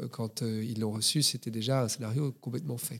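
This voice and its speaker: This is an unremarkable speaking voice, moving at a moderate pace with fairly even intonation. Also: man. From Belgium, Brussels. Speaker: screenwriter and film director. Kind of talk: interview.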